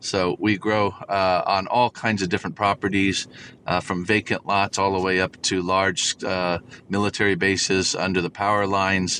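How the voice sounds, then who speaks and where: With an American accent, a man speaks at a moderate pace in a fairly low pitch, his tone bright and sharp and his intonation monotone and flat. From Southern California, Orange County. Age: 60s. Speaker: farmer. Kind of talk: interview. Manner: hesitant, many fillers.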